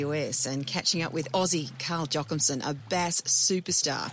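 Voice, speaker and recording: Amid noticeable background noise, a woman with an Australian accent speaks at a moderate pace, her pitch very deep and low. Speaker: podcast host. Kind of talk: casual chat and narration.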